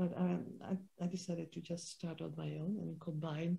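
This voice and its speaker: A woman's very deep, low voice, dark and mellow in tone and somewhat breathy. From Netherlands. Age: 70s. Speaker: holistic health practitioner and spiritual teacher. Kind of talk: interview. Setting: sitting side by side in person. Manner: halting.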